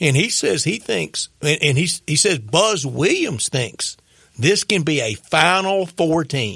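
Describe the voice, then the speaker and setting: Speaking at a very slow pace, a man with a fairly high pitch uses a bright, sharp tone, vocal fry and lively intonation. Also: very clean recording, silent background. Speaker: sports radio co-host. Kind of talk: sports radio talk show.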